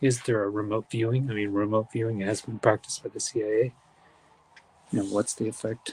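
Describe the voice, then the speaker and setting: A man whispers at a fairly quick pace. The sound is dry and close, with no echo. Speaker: live event host. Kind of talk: live commentary. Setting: outdoors. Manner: whispering.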